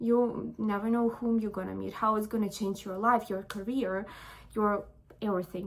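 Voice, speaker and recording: A woman speaks with a non-native accent and a fairly high pitch. Her intonation stays fairly even. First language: not English. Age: 20s. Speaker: vlogger. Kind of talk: casual chat. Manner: halting.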